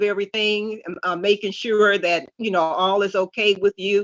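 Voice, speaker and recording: Against a quiet background, a woman speaks at a moderate pace in a bright, sharp tone, the sound dry and close with no echo. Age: 70s. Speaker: poet. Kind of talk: panel discussion.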